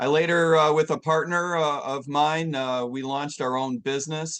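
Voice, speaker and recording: With a plain, everyday voice, a man talks at a moderate tempo, his pitch varying ordinarily over a quiet background. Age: 60s. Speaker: presidential candidate. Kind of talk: interview.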